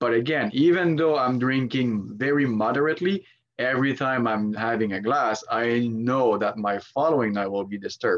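A man at medium pitch and a moderate pace, a normal speaking voice with ordinary pitch variation and hardly any pauses. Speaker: sleep researcher. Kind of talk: casual interview chat.

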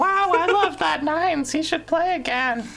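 Squeaky put-on character voice, extremely high in pitch, at a moderate pace over clear background noise. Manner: disguised, feigning different voices.

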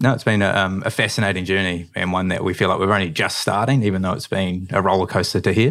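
Very fast speech in a New Zealand accent with hardly any pauses and fairly even intonation, on a very clean recording with a silent background. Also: man, very deep, low pitch for a man. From New Zealand, Manawatu. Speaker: drinks company co-founder. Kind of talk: interview.

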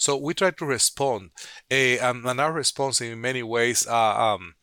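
A man speaks in a Spanish accent at a fairly slow pace. His tone is bright and sharp, with ordinary pitch variation. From Dominican Republic. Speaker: public health physician. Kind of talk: interview. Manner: halting, many fillers.

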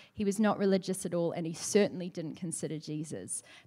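The speaker is a woman. She talks with a New Zealand accent. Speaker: ministry worker. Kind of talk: church talk. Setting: church stage with microphone and audience.

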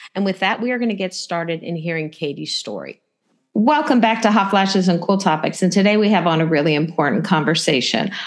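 A woman with a medium-pitched voice speaks very fast with lively intonation. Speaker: podcast host. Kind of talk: casual chat.

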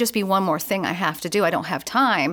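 A woman with an American accent speaks at a fairly quick pace and a medium pitch. It is an ordinary speaking voice on a very clean recording with a silent background. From US Northeast. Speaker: Salvation Army officer and youth leader. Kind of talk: interview.

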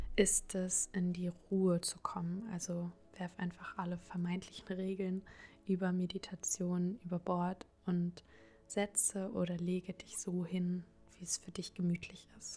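A woman speaks at a very slow pace in a medium-pitched, somewhat breathy voice with a dark, mellow tone. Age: 20s. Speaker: podcast host and psychology student. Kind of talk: guided meditation. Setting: home recording. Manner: soft-spoken.

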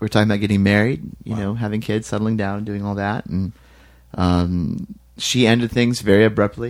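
An unremarkable speaking voice from a man, fairly quick in pace, fairly low in pitch, and fairly even in intonation. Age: 20s. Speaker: musician in a band. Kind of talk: casual interview.

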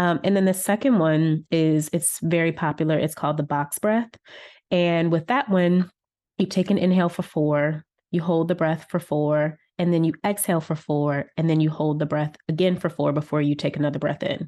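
In a normal speaking voice, a woman talks at a moderate pace with fairly low pitch, fairly even intonation and very even loudness over a quiet background. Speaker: wellness coach and author. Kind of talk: interview conversation.

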